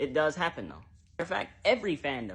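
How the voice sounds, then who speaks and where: Very fast and animated, a man talks at a fairly high pitch with very wide pitch swings. Vocal fry runs through his voice. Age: 20s. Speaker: TikTok creator. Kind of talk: social media commentary.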